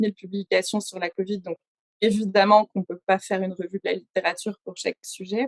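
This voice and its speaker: In a dry, close recording with no echo, a woman talks fairly quickly at a medium pitch, her intonation flat and monotone. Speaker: science journalist. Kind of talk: conference presentation. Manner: fast.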